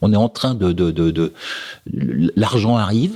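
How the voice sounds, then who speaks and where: Here a man is speaking. His intonation is lively. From France. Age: 60s. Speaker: sailing race router. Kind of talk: podcast interview answer. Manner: direct.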